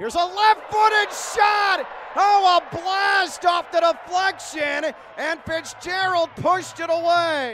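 Noticeable background noise sits under speech delivered at a very slow pace. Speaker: live match commentator. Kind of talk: live sports commentary over match highlights. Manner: animated, exclaiming at goals.

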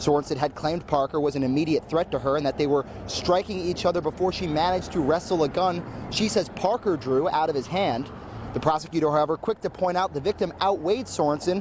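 A man talking at a fairly quick pace with very even loudness, dry sound with no echo, and noticeable background noise. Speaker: TV news reporter. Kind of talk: live news report. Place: street. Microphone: handheld.

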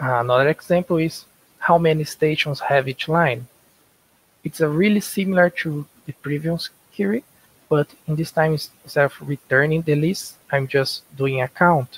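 Recorded dry with no echo, a man with a Portuguese accent talks at a moderate pace in a fairly high pitch with ordinary pitch variation. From Brazil. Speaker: software developer. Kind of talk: conference lightning talk. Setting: video call. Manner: halting. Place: home room. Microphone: headset.

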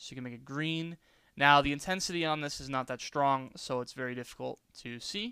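In a very clean recording with a silent background, a man with an American accent talks at a very fast pace in a bright, sharp tone, with lively intonation and a fairly high pitch. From New York. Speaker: YouTuber. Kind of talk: tutorial. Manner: casual.

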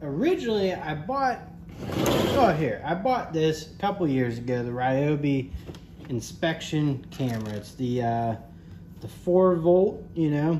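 Over light background noise, a man talks at a fairly slow pace with very wide pitch swings. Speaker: handyman reviewing a tool. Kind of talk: casual product review chat. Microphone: phone near.

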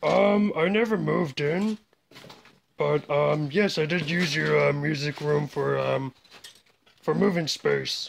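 A put-on character voice with a deadpan tone, pitched low to middle. It moves at a very slow pace. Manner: casual, deadpan.

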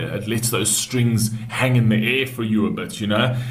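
Moderate pace from a man's voice. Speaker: reaction video host. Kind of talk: casual reaction commentary. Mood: reflective, calm, enthusiastic.

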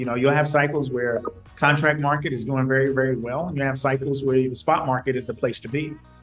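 Over faint background music, a man talks at a very fast pace. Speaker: remote guest. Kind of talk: interview answer. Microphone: video call.

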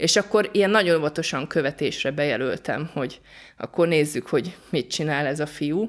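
At a moderate pace with ordinary pitch variation, the voice comes through a very clean recording with a silent background. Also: woman, very deep, low pitch for a woman. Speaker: volunteer aid worker. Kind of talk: interview.

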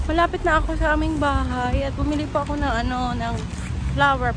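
Loud background noise surrounds a woman speaking at a moderate pace, in a dry sound with no echo. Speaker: vlogger. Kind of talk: casual vlog chat. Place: street. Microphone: phone near.

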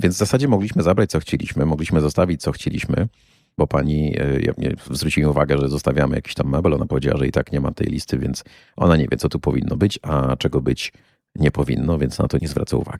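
Very fast and very deep, a man's low-pitched voice moves with ordinary pitch variation in a dry, close sound with no echo. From Poland, Kuyavian-Pomeranian region. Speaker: podcast host and tour guide. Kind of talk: solo podcast monologue.

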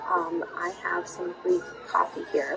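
The speaker is a woman. Clear music plays in the background. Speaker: travel vlogger. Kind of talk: casual vlog chat. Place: shop. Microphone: phone near.

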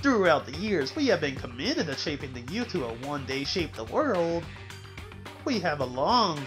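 Over clear music in the background, a man does a put-on character voice at a fairly high pitch and a moderate pace. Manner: solemn, pompous.

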